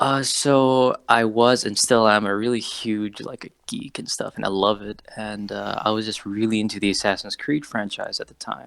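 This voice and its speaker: A man with an ordinary speaking voice and an American accent talks at a fairly low pitch and moderate pace, with fairly even intonation, big swings in loudness and hardly any pauses. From Saudi Arabia. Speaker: cosplayer. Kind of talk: interview. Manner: casual, filler-heavy.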